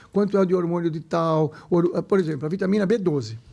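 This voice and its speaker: On a very clean recording with a silent background, a man speaks very fast in an animated tone. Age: 60s. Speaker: medical doctor. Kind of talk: casual chat.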